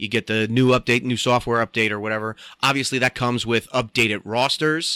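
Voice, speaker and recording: With an American accent, a man talks fairly quickly at a medium pitch in a bright, sharp tone with fairly even intonation. The recording is very clean with a silent background, the sound dry and close with no echo. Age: 30s. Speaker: sports podcast host. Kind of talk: casual solo commentary.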